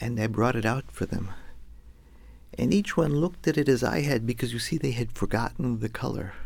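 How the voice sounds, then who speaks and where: At a fairly quick pace, a man with an American accent speaks at medium pitch. There is vocal fry, and his pitch variation is ordinary. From US West, Los Angeles. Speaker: storyteller. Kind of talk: storytelling performance.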